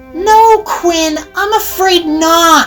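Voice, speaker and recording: A woman performs a put-on character voice pitched extremely high. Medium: read story.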